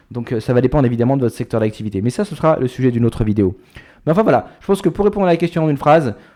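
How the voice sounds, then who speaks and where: A man with a medium pitch and a dark, mellow tone talks at a very fast pace with very wide pitch swings over a quiet background. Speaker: YouTuber, expat entrepreneur. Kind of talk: casual vlog talk to camera. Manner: hesitant, many fillers.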